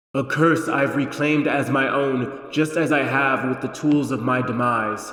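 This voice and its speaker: Someone performs a put-on character voice at a moderate pace, with a clear echo around it. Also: man, medium pitch for a man. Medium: read story. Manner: calm, matter-of-fact, ominous.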